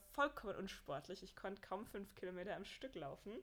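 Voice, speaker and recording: Lively intonation at a fairly quick pace. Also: woman. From Bavaria (Mühldorf). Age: 20s. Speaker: marathon runner and entrepreneur. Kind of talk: casual interview.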